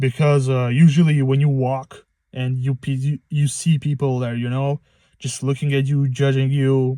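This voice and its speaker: A man with a non-native accent speaks at a moderate pace in a flat monotone. His tone is dark and mellow, and the sound is dry and close with no echo. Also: medium pitch for a man. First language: not English. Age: 20s. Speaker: first-time vlogger. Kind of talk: casual monologue vlog. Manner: halting, many fillers and restarts.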